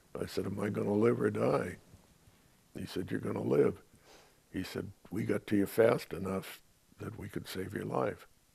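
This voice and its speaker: A man with a very deep, low pitch and a dark, mellow tone speaks at a moderate pace, using vocal fry, very wide pitch swings and long, frequent pauses. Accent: American. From San Francisco. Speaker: WWII veteran. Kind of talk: oral history interview, recounting war memories. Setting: interview. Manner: matter-of-fact, understated about combat. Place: home room.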